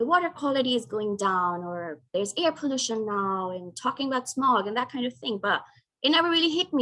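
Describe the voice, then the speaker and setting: The woman's tone is bright and sharp, and her pace is moderate. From Pakistan. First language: not English. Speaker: climate change consultant, keynote speaker. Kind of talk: keynote talk.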